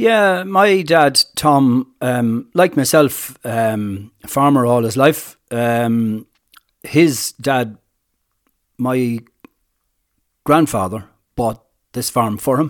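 A man speaks very slowly at a medium pitch, with ordinary pitch variation. His speech has long, frequent pauses. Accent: Irish. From Ireland, County Kilkenny. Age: 60s. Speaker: farmer. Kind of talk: interview. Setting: on location at farm. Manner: hesitant, many fillers.

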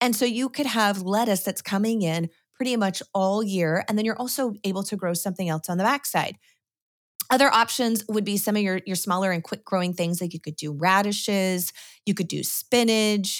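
A woman with an American accent has an unremarkable speaking voice at a medium pitch, with ordinary pitch variation. She talks at a moderate pace on a very clean recording with a silent background. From Washington State, US Pacific Northwest. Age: 40s. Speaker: homesteader and gardening author. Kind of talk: casual interview.

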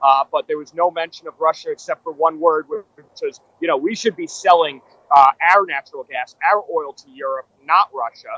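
In a dry, close recording with no echo, a man with a New York accent speaks at a moderate pace in a high-pitched, bright, sharp tone, with ordinary pitch variation and big swings in loudness. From New York City. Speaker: political commentator. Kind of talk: live political analysis. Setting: outside a ballroom at an event.

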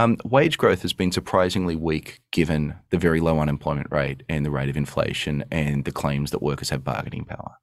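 A man talks at a fairly quick pace in a very deep, low voice. He hardly pauses at all. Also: ordinary pitch variation. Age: 40s. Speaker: economics professor. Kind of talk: casual expert discussion.

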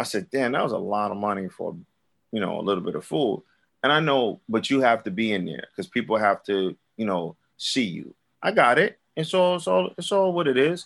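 A man with a Brooklyn accent talks at a fairly quick pace in a medium pitch, his voice swinging very widely up and down, over a quiet background. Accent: New York (Brooklyn). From Brooklyn, New York. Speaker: rapper and recording artist. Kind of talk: casual interview chat.

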